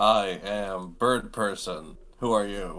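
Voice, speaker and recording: In a put-on character voice, a man speaks very slowly at a fairly low pitch. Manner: monotone.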